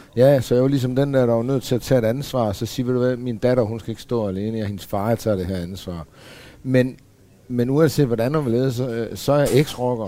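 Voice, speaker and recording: A man's dark, mellow voice at medium pitch, with ordinary pitch variation and a fairly quick pace. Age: 40s. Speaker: former biker gang member. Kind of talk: casual panel discussion. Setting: café.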